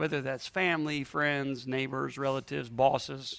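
A man speaks at a moderate pace in an animated, bright and sharp tone against a quiet background. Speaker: preacher. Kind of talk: sermon to a live congregation. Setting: church with audience. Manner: animated, call-and-response, exhorting the crowd; humorous, playful asides.

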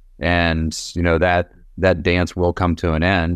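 A man talks in a very deep, low pitch with monotone, flat intonation. The sound is dry and close with no echo, and the background is quiet. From East Tennessee, Knoxville. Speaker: cannabis company co-founder. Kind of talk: interview.

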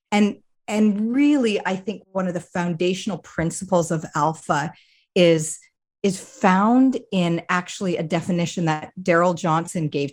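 With a Canadian accent, a woman speaks in an ordinary speaking voice, her pitch fairly low and its variation ordinary. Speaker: ministry director. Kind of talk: interview.

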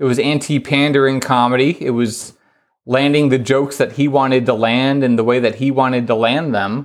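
A normal speaking voice at a fairly quick pace, with fairly even intonation, very even loudness and a very clean recording over a silent background. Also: man, medium pitch for a man. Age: 30s. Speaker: comedy writer and interviewer. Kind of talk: casual chat.

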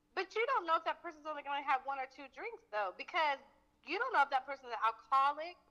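A woman with an American accent talks at a very fast pace in a high, raised, projected voice with a bright, sharp tone. Her intonation is lively and her loudness swings widely. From Fort Worth, Texas. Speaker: caller. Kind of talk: call-in discussion. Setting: phone call.

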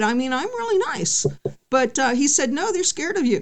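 In an American accent, a woman speaks at a moderate pace with very wide pitch swings. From California. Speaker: singer-songwriter and punk musician. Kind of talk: interview conversation.

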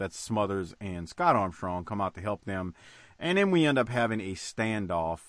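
The speaker has an unremarkable speaking voice with lively intonation and a moderate pace. It is a very clean recording with a silent background. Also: man. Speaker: podcast host. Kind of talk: casual podcast chat recapping wrestling episode. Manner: profane, relaxed banter.

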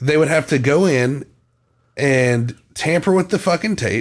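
This man has a normal speaking voice with a fairly high pitch and lively intonation. He talks at a fairly slow pace in a very clean recording with a silent background. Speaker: true crime podcast host. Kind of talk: casual banter. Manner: playful, joking.

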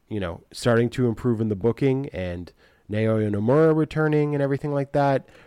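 Lively intonation from a man with a dark, mellow tone, moderate pace, dry, close sound with no echo, and a very clean recording over a silent background. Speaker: wrestling podcast co-host. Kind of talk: casual chat.

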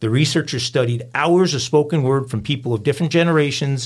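A man's somewhat breathy voice shows ordinary pitch variation. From New York. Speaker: true crime podcast host. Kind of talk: casual chat.

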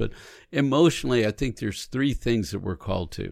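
A man with a fairly low pitch talks at a fairly quick pace with lively intonation and vocal fry. The recording is very clean, with a silent background. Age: 60s. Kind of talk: casual faith conversation. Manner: animated.

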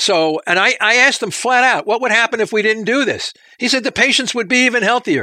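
This man speaks in a raised, projected voice at an extremely high pitch, with ordinary pitch variation and very even loudness at a fairly quick pace. The sound is dry and close with no echo, on a very clean recording with a silent background. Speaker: professor. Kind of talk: interview answering questions about research.

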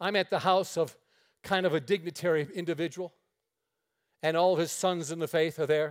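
In a very clean recording with a silent background, a man with a Western New York accent talks at a fairly quick pace in a high pitch, with fairly even intonation and long, frequent pauses. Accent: Western New York American. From upstate New York, near Niagara Falls. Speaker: traveling preacher. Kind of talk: sermon. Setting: church.

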